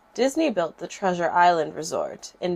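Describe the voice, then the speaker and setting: Speaking at a fairly slow pace, a woman with an American accent uses a medium pitch. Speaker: creepypasta narrator. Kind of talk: horror story narration.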